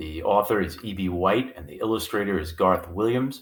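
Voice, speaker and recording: A man with an ordinary speaking voice, fairly low in pitch with ordinary pitch variation, on a very clean recording with a silent background. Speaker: teacher. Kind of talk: friendly introduction to children.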